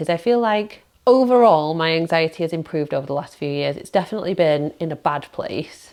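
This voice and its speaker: A woman with a British accent and a fairly low pitch talks at a fairly quick pace with lively intonation, over a quiet background. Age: 40s. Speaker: self-employed content creator. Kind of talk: casual talk to camera. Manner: chatty.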